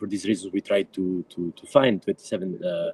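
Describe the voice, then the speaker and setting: A man in an Italian accent speaks at a moderate pace, the sound dry and close with no echo. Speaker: activist and book editor. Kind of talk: panel presentation. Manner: halting, many fillers.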